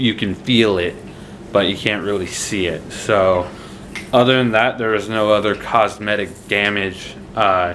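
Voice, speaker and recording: Against noticeable background noise and audible room echo, a man speaks at a fairly low pitch and fairly slow pace with fairly even intonation. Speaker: vlogger. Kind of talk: casual vlog update. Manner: slurring.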